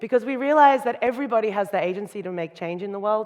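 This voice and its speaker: Here a woman talks at a very fast pace. She speaks with an Australian accent. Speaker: designer and keynote speaker. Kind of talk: conference talk. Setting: stage with audience.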